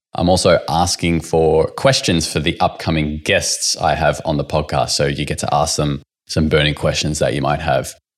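A man speaks at a moderate pace with an Australian accent. His pitch varies in an ordinary way. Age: 20s. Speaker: podcast host. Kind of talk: podcast intro and promo; casual interview chat.

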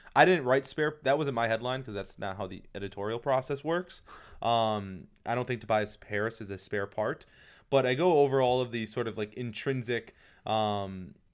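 A man with an ordinary speaking voice, medium pitch and ordinary pitch variation, at a moderate pace on a very clean recording with a silent background. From Detroit, Michigan. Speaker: basketball writer. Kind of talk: casual chat.

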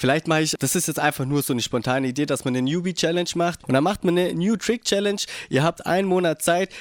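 Speaking at a very fast pace, a man uses a fairly high pitch with ordinary pitch variation. The sound is dry and close, with no echo. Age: 20s. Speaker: skateboarder and office clerk. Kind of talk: casual chat. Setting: host's living room.

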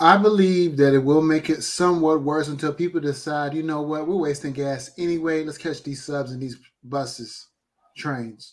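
Using an ordinary speaking voice with an American accent, a man talks at a moderate pace with a fairly high pitch and fairly even intonation. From New London, Connecticut. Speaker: podcast host. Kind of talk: show intro and casual chat.

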